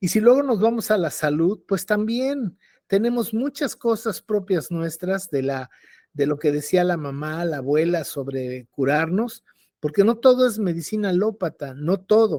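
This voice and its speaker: With a dark, mellow tone, a man speaks fairly slowly in a high voice full of lively intonation. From Mexico City. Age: 70s. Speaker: cultural commentator. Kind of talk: panel discussion.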